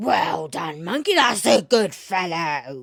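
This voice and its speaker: A put-on character voice bellows and growls at a middle pitch. The pace is fairly slow. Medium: read story.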